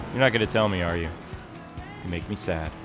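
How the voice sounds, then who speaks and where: Music plays in the background as a man speaks. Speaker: gaming YouTuber. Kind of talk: casual gameplay commentary. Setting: home office. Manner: animated.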